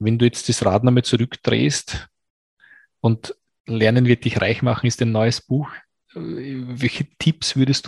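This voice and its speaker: The voice is somewhat breathy, captured with a dry, close sound and no echo. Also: man. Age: 40s. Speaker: podcast host. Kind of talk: interview.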